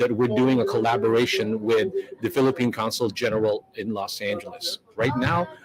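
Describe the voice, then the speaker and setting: A man's voice against noticeable background noise. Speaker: live stream host. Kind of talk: live stream commentary. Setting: live event venue, community hall. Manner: fast, rambling. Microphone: far from the mic.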